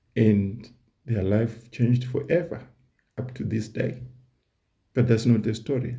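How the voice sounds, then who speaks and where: A man's dark, mellow, somewhat breathy voice with a non-native accent, ordinary pitch variation, a fairly slow pace, long and frequent pauses, and audible room echo. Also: medium pitch for a man. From Southern Africa. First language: not English. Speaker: YouTuber, history commentator. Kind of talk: casual educational monologue. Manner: conversational, repeats words.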